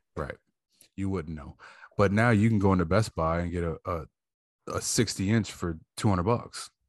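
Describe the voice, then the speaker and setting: A man speaks at a moderate pace with long, frequent pauses, his very deep, low voice showing ordinary pitch variation. The sound is dry and close with no echo, over a quiet background. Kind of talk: casual chat. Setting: video call.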